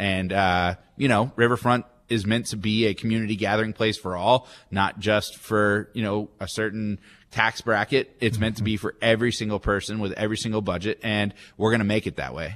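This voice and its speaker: A man with a normal speaking voice, fairly low pitch, fairly even intonation, and fairly quick pace against a quiet background. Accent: American. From Texas, Dallas area. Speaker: minor league baseball team executive. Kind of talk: radio interview.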